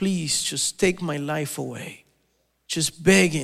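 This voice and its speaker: The man speaks at a high pitch. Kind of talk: fervent prayer. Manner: reverent, earnest.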